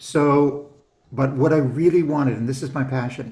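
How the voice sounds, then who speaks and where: Audible room echo surrounds a man's dark, mellow, somewhat breathy voice. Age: 60s. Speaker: business coach. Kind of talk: casual interview chat. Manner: animated.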